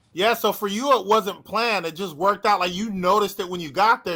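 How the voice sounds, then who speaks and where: A man projects a raised voice, bright and sharp in tone, with lively intonation. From United States. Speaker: youtube channel host. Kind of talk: casual chat on a livestream. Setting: live stream.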